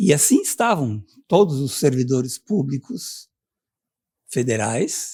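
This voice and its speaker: Very slow delivery with long, frequent pauses, a somewhat breathy quality and very wide pitch swings. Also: man. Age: 70s. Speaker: retired university professor, union representative. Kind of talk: interview.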